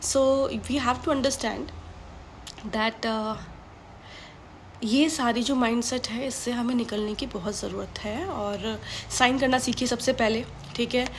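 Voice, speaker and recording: A woman with a high pitch and fairly even intonation speaks with long, frequent pauses. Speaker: motivational speaker. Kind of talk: motivational talk. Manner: Hindi-English code-mixing; harsh, blunt tone.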